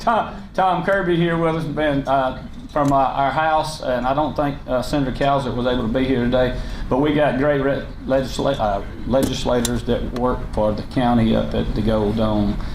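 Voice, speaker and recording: A man with a Southern US accent, medium pitch, ordinary pitch variation, very even loudness and a moderate pace, with audible room echo and noticeable background noise. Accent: Southern US (Georgia). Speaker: county government leader. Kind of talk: public speech. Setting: luncheon meeting with audience. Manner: unscripted, halting with fillers.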